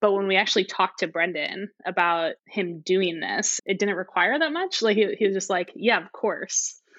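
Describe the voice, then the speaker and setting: Speaking at a fairly quick pace, a woman with an American accent has an ordinary speaking voice at a medium pitch. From St. Louis, Missouri, US Midwest. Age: 30s. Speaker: software worker. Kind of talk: casual interview.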